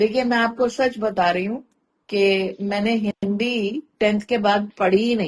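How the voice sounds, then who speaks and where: A woman talks at a fairly high pitch, keeping her intonation fairly even. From India. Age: 50s. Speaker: content creator and storyteller. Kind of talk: interview conversation. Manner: articulate, clear Hindi pronunciation.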